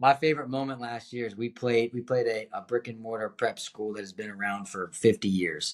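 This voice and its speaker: With a plain, everyday voice, a man of medium pitch speaks at a fairly quick pace with hardly any pauses, ordinary pitch variation and big swings in loudness, on a very clean recording with a silent background. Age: 30s. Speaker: basketball coach. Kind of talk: casual chat.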